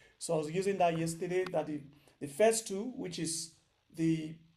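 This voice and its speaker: A dark, mellow tone delivered at a moderate pace, with fairly even intonation. Audible room echo surrounds the voice. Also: man. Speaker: programming instructor. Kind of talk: online lecture. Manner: loud.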